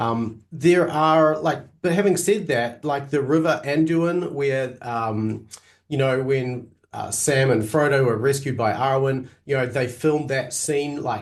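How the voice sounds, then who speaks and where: A man with a New Zealand accent speaks at a fairly slow pace in a fairly high pitch, with ordinary pitch variation. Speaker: Greek teacher. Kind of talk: interview.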